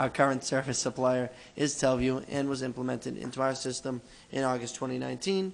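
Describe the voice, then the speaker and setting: In an American accent, a man speaks at a medium pitch. His pace is very fast. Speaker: city clerk. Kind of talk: reading aloud.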